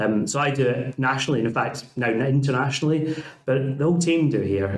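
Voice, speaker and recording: With a Scottish accent, a man speaks at a moderate pace with fairly even intonation over noticeable background noise. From Scotland. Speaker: university principal. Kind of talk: casual interview chat.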